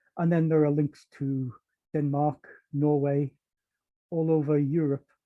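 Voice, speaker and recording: A fairly high-pitched man in a northeast England accent, with fairly even intonation. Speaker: power system protection engineer. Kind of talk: technical webinar talk. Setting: online webinar. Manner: hesitant, many fillers.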